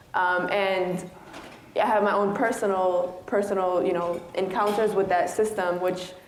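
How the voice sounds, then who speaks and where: In a room with audible echo and noticeable background noise, a woman with an American accent speaks at a moderate pace and medium pitch in a monotone, flat intonation. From Chicago, south side. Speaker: arts director and community leader. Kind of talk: panel talk. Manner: halting, many fillers.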